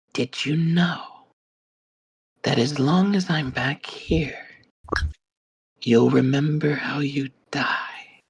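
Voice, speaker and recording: A put-on character voice, whispering and raspy at a very slow pace. Long pauses come often. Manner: menacing.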